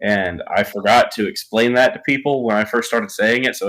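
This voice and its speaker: At a very fast pace, a man with an American accent talks at a medium pitch with ordinary pitch variation. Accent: southern, sometimes thick. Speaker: rock band guitarist and songwriter. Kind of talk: casual interview. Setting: live stream interview.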